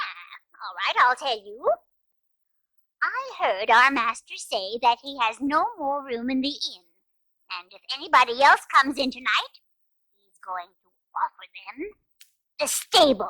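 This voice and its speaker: A female-sounding, put-on character voice, high-pitched and smug in tone, at a moderate pace with long, frequent pauses. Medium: read story. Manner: sassy, smug.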